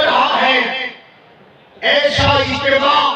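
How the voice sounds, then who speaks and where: Noticeable background noise surrounds a man's voice. He speaks in a raised, projected voice at an extremely high pitch. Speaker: Islamic scholar giving a religious speech. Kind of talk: religious sermon at a Milad gathering.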